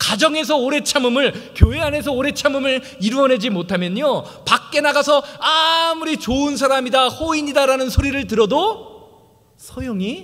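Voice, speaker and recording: Heard with audible room echo, a man speaks at a moderate pace. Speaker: pastor. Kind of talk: sermon. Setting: church. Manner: halting, stumbles over words.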